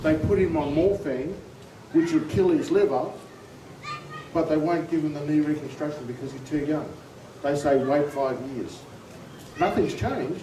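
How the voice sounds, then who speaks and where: With an Australian accent, a man speaks at a moderate pace in a fairly high pitch, with fairly even intonation and long, frequent pauses. The recording carries audible room echo and noticeable background noise. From far north Queensland, Australia. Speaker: army veteran, rally speaker. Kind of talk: political rally speech. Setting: outdoor rally with crowd.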